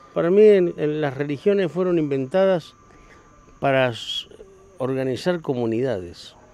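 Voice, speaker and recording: Against noticeable background noise, a man speaks fairly slowly at a fairly high pitch. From Argentina, Patagonia. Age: 60s. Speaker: gaucho, horseman. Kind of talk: interview. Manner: loud.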